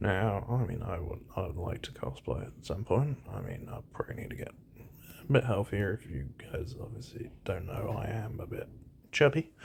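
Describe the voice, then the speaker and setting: With vocal fry and fairly low pitch, a man speaks in lively intonation. His loudness swings widely. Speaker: gaming and anime commentary youtuber. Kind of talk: casual solo commentary. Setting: at home. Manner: hesitant, many repetitions and fillers; kept deliberately quiet.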